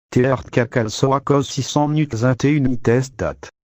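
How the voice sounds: A man speaks at medium pitch with a slightly mellow tone. His pace is moderate and his pitch variation ordinary.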